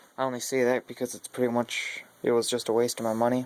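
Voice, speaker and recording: It is a plain, everyday voice. Delivery moves at a moderate pace. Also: man. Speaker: car enthusiast vlogger. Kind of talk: casual vlog walkthrough. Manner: casual, filler-heavy.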